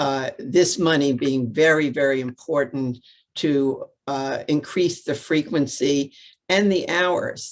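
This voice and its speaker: Speaking in a New York accent, the woman has a very deep, low pitch and a very slow pace. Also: ordinary pitch variation. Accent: New York City. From New York City. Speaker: transit advocate. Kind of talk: press conference remarks. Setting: video call.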